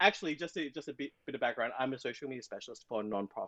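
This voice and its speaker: A man with an Australian accent speaks in an animated tone. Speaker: social media specialist and book content creator. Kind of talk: casual podcast interview. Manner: animated, with many false starts.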